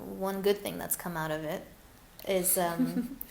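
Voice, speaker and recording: Very slowly, a woman with an American accent speaks at medium pitch, with ordinary pitch variation and audible room echo. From US West Coast, Glendale, California. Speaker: English teacher, repatriate. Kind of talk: webinar interview Q&A. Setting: live webinar. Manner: animated.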